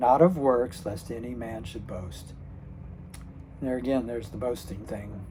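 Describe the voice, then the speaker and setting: There is noticeable background noise. A man speaks at a medium pitch. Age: 60s. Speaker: retired channel host. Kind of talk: casual talk to camera. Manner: hesitant, halting, many fillers.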